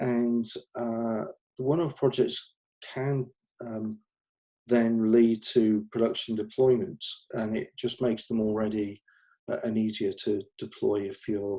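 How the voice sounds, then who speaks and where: With a dark, mellow tone and medium pitch, a man speaks at a fairly slow pace with ordinary pitch variation and long, frequent pauses. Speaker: researcher presenting his master's research. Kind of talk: conference talk. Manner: halting, many fillers.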